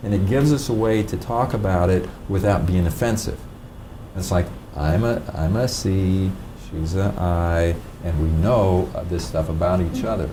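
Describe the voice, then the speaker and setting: A man with a very deep, low pitch talks at a moderate pace and ordinary pitch variation, with audible room echo and noticeable background noise. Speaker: DISC behavioral styles trainer. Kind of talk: training seminar talk. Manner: pauses to think between sentences; halting, repeated words.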